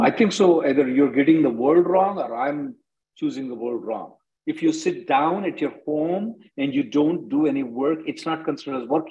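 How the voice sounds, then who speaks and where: A man's plain, everyday voice, fairly high in pitch, with lively intonation at a moderate pace. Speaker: immigration attorney. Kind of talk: live Q&A conference call answering callers' immigration questions. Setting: video conference call.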